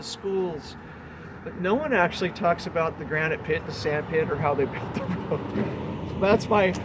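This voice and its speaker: There is noticeable background noise behind a man's voice. His high pitch varies in an ordinary way. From Lakeside, California. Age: 60s. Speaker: local historian. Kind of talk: interview answer.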